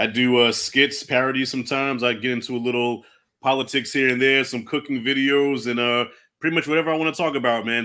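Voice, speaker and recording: A man with an American accent, medium pitch, fairly even intonation and a fairly quick pace, an ordinary speaking voice. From Long Island, New York. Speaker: movie YouTuber. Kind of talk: casual livestream chat.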